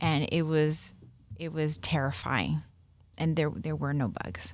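A woman's very deep, low voice at a moderate pace, in an American accent. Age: 50s. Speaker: spiritist medium. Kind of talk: podcast interview.

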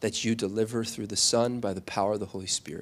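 A man speaks with ordinary pitch variation. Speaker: church pastor leading prayer. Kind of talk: fervent, tender congregational prayer. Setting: church. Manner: pleading, heartfelt, tender; halting, with many filler pauses.

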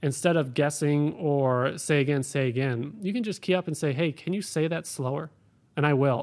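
On a very clean recording with a silent background, a man with an American accent and an unremarkable speaking voice talks at a moderate pace and a fairly high pitch, with ordinary pitch variation. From Ohio, Cleveland. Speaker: air traffic controller. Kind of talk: interview.

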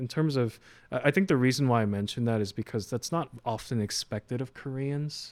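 A man with an unremarkable speaking voice talks at a moderate pace, medium pitch and ordinary pitch variation. The recording is very clean, with a silent background. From New York (Queens, Flushing), Korean American. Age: 20s. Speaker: financial advisor. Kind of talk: casual chat.

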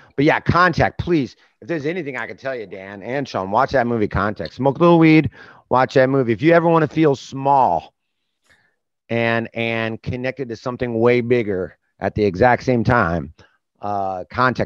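In a dry, close sound with no echo, a man with an American accent talks at a medium pitch in an unremarkable speaking voice. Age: 40s. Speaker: comedian. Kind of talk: casual chat.

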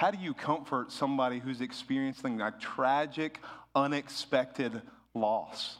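A man with a normal speaking voice, medium pitch, ordinary pitch variation and a fairly slow pace. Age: 30s. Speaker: pastor. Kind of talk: sermon. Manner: casual, conversational.

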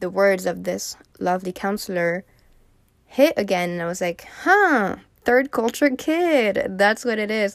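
A woman with a slight French accent speaks at a very slow pace with ordinary pitch variation on a very clean recording with a silent background. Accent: light French accent in English. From France. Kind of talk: casual solo monologue. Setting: home recording, seagulls audible. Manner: chatty, filler-heavy.

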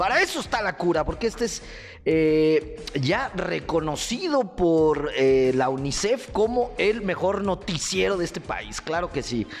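Animated, fairly slow speech with a Mexican accent and noticeable background noise. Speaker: comedic radio news host. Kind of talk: comedic news commentary. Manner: loud.

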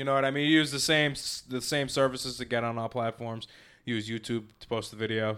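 In a slight Boston accent, a man talks very fast at medium pitch with fairly even intonation, big swings in loudness, and a bright, sharp tone on a very clean recording with a silent background. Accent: slight Boston accent on certain words. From Massachusetts. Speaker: digital marketing company founder. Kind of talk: casual interview.

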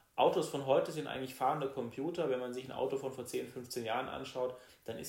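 Somewhat breathy, a man talks at a fairly quick pace, with room echo audible. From Baden, southwest Germany. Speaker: state politician. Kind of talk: political interview.

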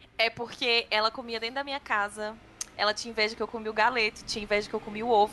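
Over noticeable background noise, a woman rattles on at a very fast pace in a fairly high, monotone, flat voice. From Brazil, Gama (Federal District). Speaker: government podcast producer. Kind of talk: casual chat.

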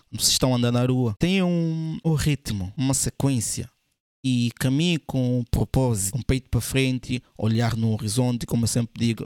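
On a very clean recording with a silent background and a dry, close sound with no echo, a man speaks at a fairly quick pace, his medium pitch varying in an ordinary way. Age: 20s. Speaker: podcast host, men's lifestyle coach. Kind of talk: motivational monologue. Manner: emphatic, repetitive.

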